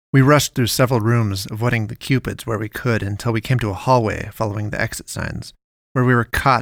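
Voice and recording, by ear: Read aloud in a natural voice, the speech keeps a fairly even intonation over a quiet background.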